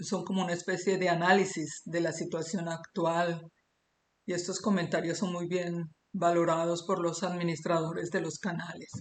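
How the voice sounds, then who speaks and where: A woman's fairly low voice, flat and monotone, at a fairly slow pace. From Colombia. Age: 60s. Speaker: amateur geologist and YouTuber. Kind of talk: monologue presenting a theory. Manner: hesitant with many fillers.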